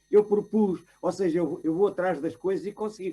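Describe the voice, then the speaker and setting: Here is a man with a high pitch. He keeps a moderate pace and ordinary pitch variation. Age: 80s+. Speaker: retired academic. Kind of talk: panel discussion. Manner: halting.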